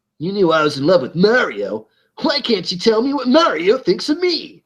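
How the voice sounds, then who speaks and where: A man's high-pitched, put-on character voice at a moderate pace, with very wide pitch swings. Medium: read story.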